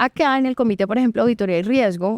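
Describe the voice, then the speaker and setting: A woman in a Colombian coastal accent with lively intonation, against a quiet background, with a dry, close sound and no echo. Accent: Valledupar (costeño). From Colombian Caribbean coast, Valledupar. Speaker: lawyer and board member. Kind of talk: podcast interview.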